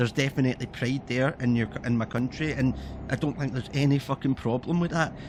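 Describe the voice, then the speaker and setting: Here a man speaks in a medium pitch with a Scottish accent. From Scotland. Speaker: gaming streamer. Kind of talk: casual chat. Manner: animated.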